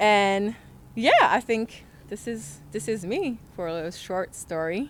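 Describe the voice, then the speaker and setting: A woman talks at a fairly slow pace with a medium pitch and ordinary pitch variation. Noticeable background noise runs underneath. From France. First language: French. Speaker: model and influencer. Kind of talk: casual interview chat.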